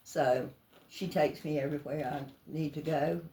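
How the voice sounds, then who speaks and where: A woman with a coastal Georgia accent, a very deep, low pitch and fairly even intonation. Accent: Southern US, coastal Georgia. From US South, Georgia (near Savannah). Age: 90s. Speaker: elderly church member interviewed. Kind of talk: life story interview. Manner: halting.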